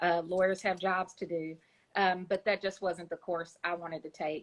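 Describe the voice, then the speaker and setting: The speaker talks at a moderate pace in a Kentucky accent. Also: woman. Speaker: children's book author. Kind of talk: interview. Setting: Instagram Live. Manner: hesitant, many fillers.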